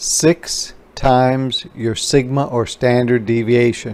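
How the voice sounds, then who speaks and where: A man is speaking. His pace is very slow. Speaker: instructor. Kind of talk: tutorial. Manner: casual.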